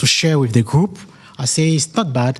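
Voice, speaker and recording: A man talks at a fairly high pitch with a somewhat breathy quality. His pitch moves up and down in an ordinary way. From French-speaking country. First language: French. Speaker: community member. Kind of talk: public talk at community meeting. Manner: halting.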